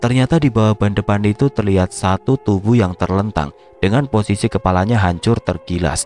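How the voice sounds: A natural reading voice carries the text. Pitch moves in an ordinary manner.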